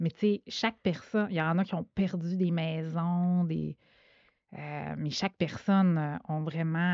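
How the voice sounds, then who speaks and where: The voice has a dark, mellow tone and moves at a fairly slow pace. Its loudness swings widely over a quiet background. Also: woman, fairly low pitch for a woman, dry, close sound with no echo. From Quebec, Saguenay (Chicoutimi). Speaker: podcast host. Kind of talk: casual interview. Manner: hesitant, many fillers.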